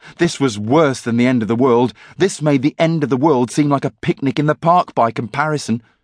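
Pitch moves with ordinary variation. The reader uses a natural reading voice.

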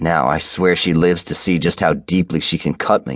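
A man's very deep, low voice, intense and angry in tone, with vocal fry, a moderate pace, and a quiet background. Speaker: audiobook narrator. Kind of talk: dramatic first-person audiobook narration of a romance novel. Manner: intense, brooding, gritty, with angry growls and raw emotion; shifts into voices for dialogue, including a sobbing woman.

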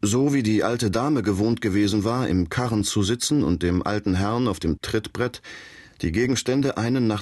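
Against a quiet background, a man keeps a moderate pace. His intonation is lively. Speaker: audiobook narrator. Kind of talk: audiobook reading, first-person dramatic narration. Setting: studio. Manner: animated, storytelling with character voices.

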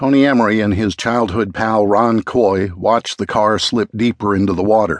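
A man with a plain, everyday voice speaks at a fairly low pitch and a moderate pace, keeping a fairly even intonation. The sound is dry and close with no echo, over a quiet background. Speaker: audiobook narrator. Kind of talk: dramatic audiobook narration of a true-crime story. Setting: audiobook recording.

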